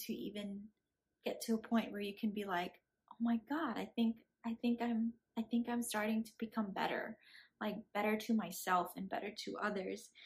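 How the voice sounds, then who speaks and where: A woman speaks in a somewhat breathy, fairly high voice with fairly even intonation. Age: 20s. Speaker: vlogger. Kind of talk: casual monologue. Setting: friend's living room. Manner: halting.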